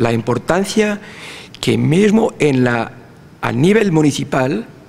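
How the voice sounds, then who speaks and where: A man's voice moves through very wide pitch swings. Noticeable background noise can be heard. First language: Portuguese (speaking Spanish). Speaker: university researcher in territorial planning. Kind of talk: conference lecture. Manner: halting, with fillers and restarts.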